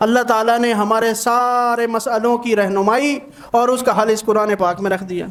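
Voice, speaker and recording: A man's extremely high-pitched voice with fairly even intonation. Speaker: Islamic scholar. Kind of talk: religious sermon.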